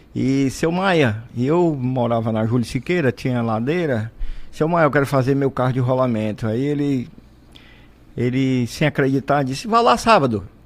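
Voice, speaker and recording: A man talks at an average speed, his voice pitched in a medium range. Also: ordinary pitch variation. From Brazil, Fortaleza, Ceará. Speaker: entrepreneur and inventor. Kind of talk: radio interview, storytelling. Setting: radio studio. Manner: animated.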